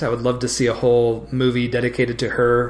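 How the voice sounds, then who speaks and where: Amid noticeable background noise, a man with a medium pitch talks at a moderate pace. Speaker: recurring podcast guest. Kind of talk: casual chat.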